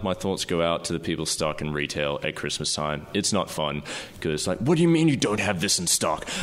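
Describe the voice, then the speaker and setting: A man with an Australian accent talks over noticeable background noise. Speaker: filmmaker. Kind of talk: casual chat. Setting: living room, echoey.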